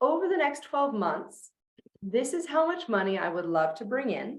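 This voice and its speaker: There is audible room echo on the recording. The speech moves at a moderate pace. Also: woman. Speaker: sales coach. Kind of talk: online masterclass.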